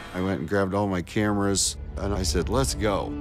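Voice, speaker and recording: Clear music plays in the background while a man with a very deep, low pitch speaks at a moderate pace. The sound is dry with no echo. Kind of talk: interview answer. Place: studio. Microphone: lapel.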